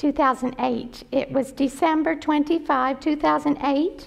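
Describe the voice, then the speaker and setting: The speaker is a woman. Her voice is high in pitch. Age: 60s. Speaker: retired nurse and missionary. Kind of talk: mission talk, testimony. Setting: church with audience. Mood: earnest storytelling. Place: church.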